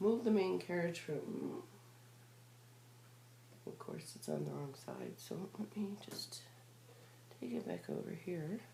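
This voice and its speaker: Long, frequent pauses in very slow speech, with noticeable background noise. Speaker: machine knitter. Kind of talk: tutorial talk. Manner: casual.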